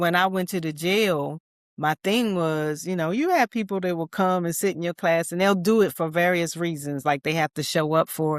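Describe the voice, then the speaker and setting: With an American accent, a woman has a plain, everyday voice with a fairly low pitch, moderate pace and ordinary pitch variation. The recording is very clean with a silent background, and the sound is dry and close with no echo. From US Mid-Atlantic (DC area). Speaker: army veteran and resilience speaker. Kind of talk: podcast interview.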